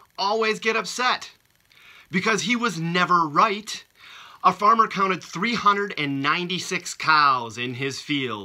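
This very slow voice is raised and projected, bright and sharp in tone, with very wide pitch swings. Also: man. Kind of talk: casual video message with jokes. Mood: playful, laughing at jokes. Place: home room. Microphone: phone near.

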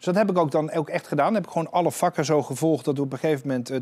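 A man talks with ordinary variation in his pitch. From Netherlands. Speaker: art dealer and auctioneer; guest. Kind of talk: interview. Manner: halting. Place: studio. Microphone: lapel.

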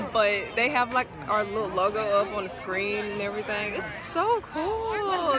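A woman's voice, dry with no echo, over crowd noise in the background. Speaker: college band member vlogger. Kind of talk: casual vlog chat. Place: stadium. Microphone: phone near.

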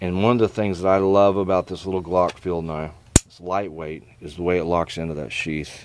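Over noticeable background noise, a man with a very deep, low voice speaks at a fairly quick pace with fairly even intonation, in a dry sound with no echo. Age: 60s. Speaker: knife reviewer and knife maker; knife reviewer. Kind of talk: casual product review. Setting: outdoors. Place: garden. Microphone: camera far.

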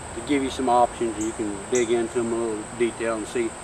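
A man's monotone, flat delivery over noticeable background noise. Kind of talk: tutorial. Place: garden. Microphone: camera far.

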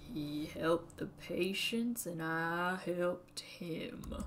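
A female-sounding voice does a put-on character voice in a Southern accent, fairly low-pitched and very slow, with clear background noise.

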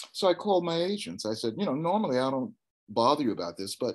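A man at a very fast pace, very wide pitch swings, against a quiet background. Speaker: actor interview guest. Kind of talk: interview answer. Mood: cheerful, storytelling, laughing. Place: home room. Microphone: video call.

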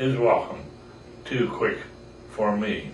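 A man speaks at a very slow pace with ordinary pitch variation. The room echo is audible, and light background noise sits behind him. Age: 80s+. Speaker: grandfather. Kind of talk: poetry reading. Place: home room. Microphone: camera far.

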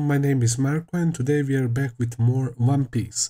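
A dark, mellow, somewhat breathy tone at a moderate pace with fairly even intonation over a quiet background. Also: man. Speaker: anime reaction youtuber. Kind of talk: casual vlog chat. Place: home room. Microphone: headset.

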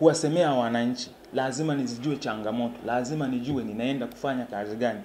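Against light background noise, a man talks at a fairly quick pace. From Tanzania, Shinyanga rural; Tanzania. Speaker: parliamentary aspirant. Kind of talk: interview. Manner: halting. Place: home room.

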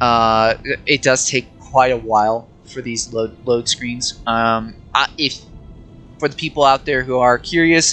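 A man's medium-pitched voice at a fairly slow pace with fairly even intonation, music playing in the background. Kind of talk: gameplay commentary. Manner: stuttering, hesitant.

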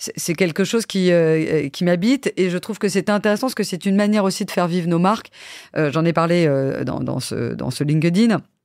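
A woman's fairly low voice at a fairly quick pace, with ordinary pitch variation, in a very clean recording with a silent background. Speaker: TV production executive. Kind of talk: interview. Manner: hesitant fillers.

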